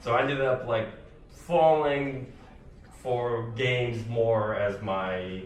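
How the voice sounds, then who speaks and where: Audible room echo surrounds a man speaking very slowly at a medium pitch with ordinary pitch variation. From Sudan. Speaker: solo game developer. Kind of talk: conference talk. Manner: casual, filler-heavy.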